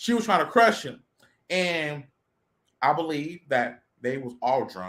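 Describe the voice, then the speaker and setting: Using an American accent, the speaker moves at a fairly slow pace in an animated tone with vocal fry, very wide pitch swings, and big swings in loudness. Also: woman, very deep, low pitch for a woman. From Texas, Houston. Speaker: podcast host. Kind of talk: casual chat. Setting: studio.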